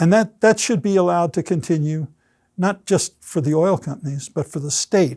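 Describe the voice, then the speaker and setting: In a dry, close sound with no echo and a silent background on a very clean recording, a man with an American accent talks at a moderate pace, his high pitch varying in an ordinary way and his tone dark and mellow. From New York. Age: 80s+. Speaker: retired oil industry executive. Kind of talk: oral history interview.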